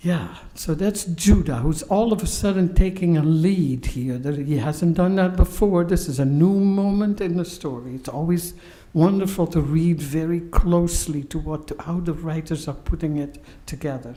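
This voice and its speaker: With a Dutch accent, a woman speaks at a moderate pace in a fairly low pitch with ordinary variation. Audible room echo surrounds her voice. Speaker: pastor and professor giving a sermon. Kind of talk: sermon. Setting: synagogue service, live-streamed.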